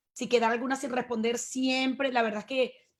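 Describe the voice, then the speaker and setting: Speaking with a Venezuelan accent, a woman uses a high pitch and monotone, flat intonation. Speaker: webinar host. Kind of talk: webinar moderation. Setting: video call.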